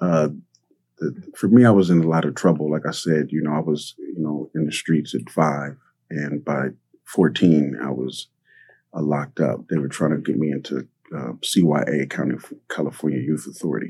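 A man speaks with a very deep, low pitch and a dark, mellow tone. His voice has vocal fry and ordinary pitch variation. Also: moderate pace. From South Central Los Angeles. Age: 50s. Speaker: artist and community organizer. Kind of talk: interview conversation. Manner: casual, many filler words.

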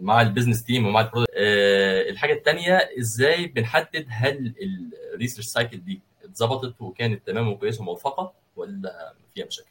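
Speaking at a moderate pace, a man with a plain, everyday voice uses medium pitch and lively intonation. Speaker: podcast host. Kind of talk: casual interview.

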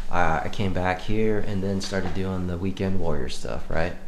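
Over noticeable background noise, a man speaks in a very deep, low voice with ordinary pitch variation. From small town. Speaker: army veteran. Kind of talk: casual chat.

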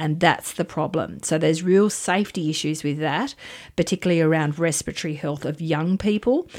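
On a very clean recording with a silent background, a woman with an Australian accent speaks at a fairly quick pace and a fairly low pitch. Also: ordinary pitch variation. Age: 50s. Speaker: nursing lecturer. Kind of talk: radio interview.

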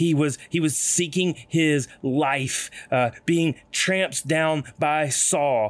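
At a very slow pace, a man speaks at a fairly high pitch with ordinary pitch variation. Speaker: ministry leader leading prayer. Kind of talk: guided prayer.

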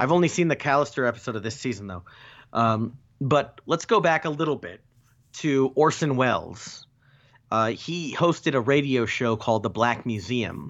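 This man has a plain, everyday voice at a medium pitch. He talks at a moderate pace with lively intonation. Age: 30s. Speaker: podcast co-host. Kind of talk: casual chat.

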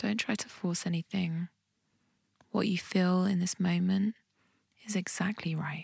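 In a calm, soothing tone that is somewhat breathy, the speaker goes at a fairly slow pace with long, frequent pauses and fairly even intonation, the sound dry and close with no echo. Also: woman, medium pitch for a woman. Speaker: meditation guide and podcast host. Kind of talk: guided meditation. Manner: slow, calm and soothing, with gentle pauses between instructions; warm and encouraging.

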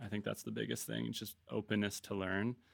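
A man with a Canadian accent speaks at a fairly low pitch with ordinary pitch variation. It is a plain, everyday voice in a very clean recording with a silent background. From Vancouver, Canada. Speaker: brand cofounder and marketer. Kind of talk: casual interview conversation. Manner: casual, filler-heavy.

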